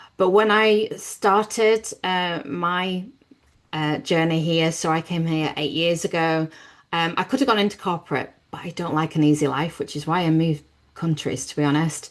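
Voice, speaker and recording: Against a quiet background, a woman with a British accent speaks at a moderate pace in a fairly low pitch with ordinary pitch variation. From Britain. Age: 50s. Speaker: business networking host. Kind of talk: webinar presentation.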